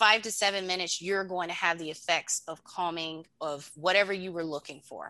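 Against a quiet background, a woman with an American accent talks at a fairly quick pace and medium pitch. Her tone is bright and sharp, with ordinary pitch variation. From North Carolina, near Virginia border. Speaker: veteran advocate and herbal wellness entrepreneur. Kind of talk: interview. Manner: animated.

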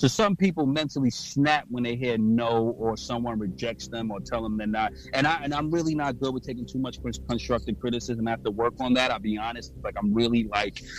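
Against noticeable background noise, a man of medium pitch talks at a fairly quick pace with ordinary pitch variation and hardly any pauses. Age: 30s. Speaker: podcast host. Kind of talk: interview. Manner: fast talker.

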